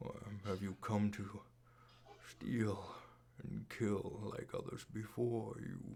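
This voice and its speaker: A man uses a put-on character voice with a fairly low pitch and fairly even intonation. He speaks at a very slow pace with long, frequent pauses. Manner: mysterious.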